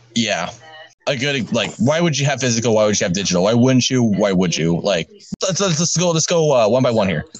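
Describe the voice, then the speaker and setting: With music in the background, a man speaks at a fairly quick pace, his pitch swinging very widely. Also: medium pitch for a man, very even loudness. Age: 30s. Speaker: gaming podcast host. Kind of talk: casual chat.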